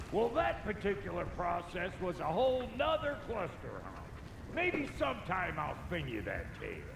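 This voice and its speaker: Doing a gruff, put-on character voice in a rural American accent, a man talks at a moderate pace with slight echo and loud background noise. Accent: rural American drawl. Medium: video game. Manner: folksy, gruff.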